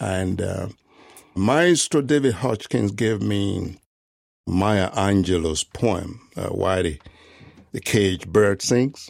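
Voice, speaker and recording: Very slow speech in a West African accent, with long, frequent pauses, very cleanly recorded against a silent background. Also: man, fairly low pitch for a man, ordinary pitch variation. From Ghana and Nigeria. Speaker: composer. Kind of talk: interview. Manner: frequent fillers like 'you know'.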